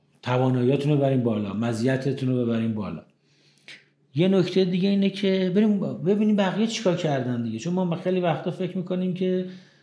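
A man's high-pitched, dark, mellow voice with lively intonation at a very fast pace, plus audible room echo. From Iran. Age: 50s. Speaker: pharmacist and pharma distribution executive. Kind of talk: interview. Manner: casual, conversational.

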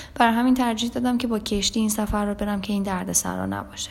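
Against noticeable background noise, a woman with a medium pitch speaks at a very fast pace. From Iran. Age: 20s. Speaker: music artist manager and travel influencer. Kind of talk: interview, personal travel stories.

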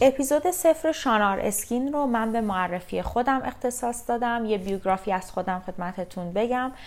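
Over music in the background, a woman with a fairly high voice and lively intonation talks with hardly any pauses. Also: moderate pace. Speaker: beauty therapist, podcast host. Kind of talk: scripted podcast introduction.

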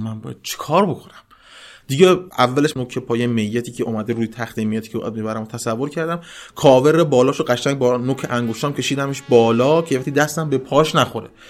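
Talking at a very fast pace, a man uses medium pitch and ordinary pitch variation. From Mazandaran, Iran. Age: 20s. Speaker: seminary student and volunteer. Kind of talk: personal testimony.

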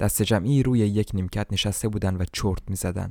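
The voice has a dramatic tone, with ordinary pitch variation, at a moderate pace. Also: man. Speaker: audiobook narrator. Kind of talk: literary audiobook reading, scripted narration of a translated novel. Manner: measured, flowing first-person storytelling, shifting into dramatic emphasis for dialogue.

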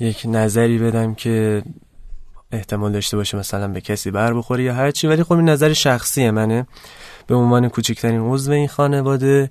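A man speaks at a moderate pace with a medium pitch and ordinary pitch variation. The background is quiet. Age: 20s. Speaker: fashion designer. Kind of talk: interview. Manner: low energy.

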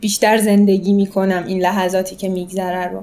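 A woman speaks at a medium pitch in a monotone, flat delivery at a fairly quick pace. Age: 20s. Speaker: amateur triathlete. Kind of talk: interview, personal story.

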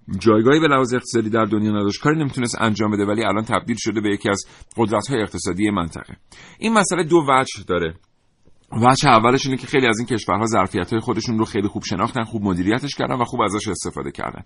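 A man speaks very fast at a medium pitch, with ordinary pitch variation over a quiet background. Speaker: radio host. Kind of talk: live radio talk show.

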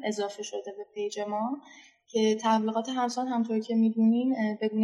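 A woman's fairly high, monotone, flat voice with music in the background. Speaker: Instagram page admin and student. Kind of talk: online class participation.

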